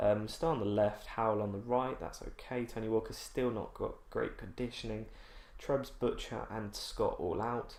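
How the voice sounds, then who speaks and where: A quiet man with an English accent, some room echo around him. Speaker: gaming YouTuber. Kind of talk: let's play commentary. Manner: slow.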